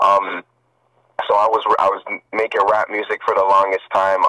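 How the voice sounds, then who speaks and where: A man's voice, dry and close with no echo. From Toronto, Canada. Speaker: rapper, singer and producer. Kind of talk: casual interview chat.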